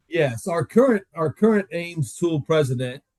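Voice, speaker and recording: This is an unremarkable speaking voice with an American accent, lively intonation and a moderate pace, captured as a dry, close sound with no echo. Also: man. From Florida, Tampa. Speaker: tool company executive. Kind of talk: casual interview.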